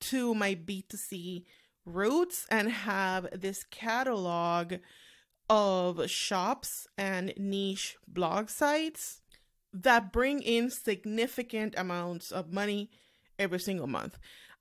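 Speaking very slowly with a non-native accent, a woman uses medium pitch and lively intonation. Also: very clean recording, silent background. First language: not English. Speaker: podcast host, online business owner. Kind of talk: solo podcast monologue. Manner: casual, frequent laughing.

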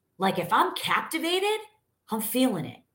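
Loud and animated, a woman with an American accent makes very wide pitch swings. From New York. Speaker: sales coach. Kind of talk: live stream sales training.

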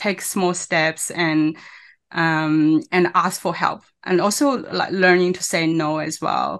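A woman with a non-native accent and a fairly low pitch speaks at a very slow pace, with fairly even intonation, over a quiet background. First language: not English. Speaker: online business owner and mother. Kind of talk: interview. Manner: halting.

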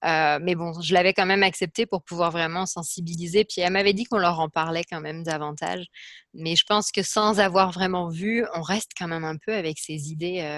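A woman has an unremarkable speaking voice, fairly low in pitch, with fairly even intonation at a moderate pace. The sound is dry and close, with no echo. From France. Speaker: speech-language pathologist. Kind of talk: interview answers.

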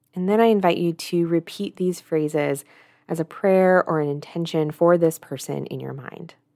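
A woman speaks in a fairly low pitch with a dark, mellow tone. Her delivery is calm and soothing, with fairly even intonation. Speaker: guided meditation host. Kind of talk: guided meditation. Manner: slow, calm and soothing, gently paced with pauses; soft-spoken, inviting.

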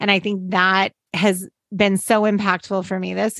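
A woman talks at a fairly slow pace in a medium pitch, an unremarkable speaking voice. The sound is dry and close with no echo, over a quiet background. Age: 40s. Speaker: podcast co-host, designer and business partner. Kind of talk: casual chat.

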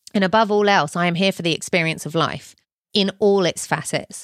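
A woman of medium pitch with a British accent, a warm, upbeat tone and ordinary pitch variation, in a dry, close sound with no echo on a very clean recording with a silent background. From UK. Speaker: podcast host and business coach. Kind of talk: solo podcast monologue, conversational. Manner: warm, upbeat, enthusiastic.

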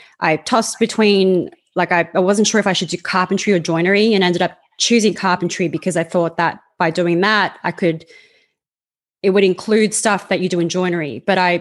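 A woman at a medium pitch with fairly even intonation and a fairly quick pace, over a quiet background. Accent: Australian. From Australia. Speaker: carpenter. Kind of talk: interview. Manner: rambling, hesitant.

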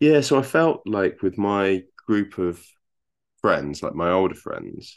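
Speaking at a fairly slow pace, a man with an English accent has a very deep, low pitch. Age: 40s. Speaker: software engineer and husband of a program participant. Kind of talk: interview. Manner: halting.

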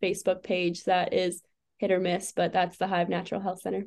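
A dark, mellow tone marks this speaker. She is a woman with an American accent. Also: quiet background. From Wisconsin. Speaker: chiropractor. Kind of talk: podcast interview.

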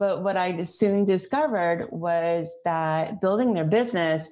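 A woman uses an ordinary speaking voice at a medium pitch. She goes at a fairly slow pace with lively intonation. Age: 50s. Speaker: life coach. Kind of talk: interview.

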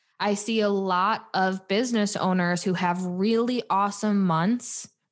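A woman's medium-pitched voice at a fairly slow pace, on a very clean recording with a silent background. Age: 20s. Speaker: podcast host and business coach. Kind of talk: solo podcast monologue. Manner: animated.

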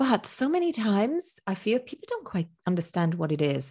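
Against a quiet background, a woman's somewhat breathy voice swings very widely in pitch. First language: not English. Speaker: business consultant and podcast host. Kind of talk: interview.

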